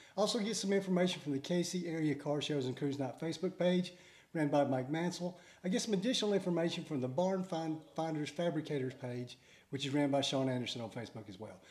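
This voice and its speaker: Very fast delivery from a man, pitch varying in an ordinary way. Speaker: car show channel host. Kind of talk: casual announcement vlog. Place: garage.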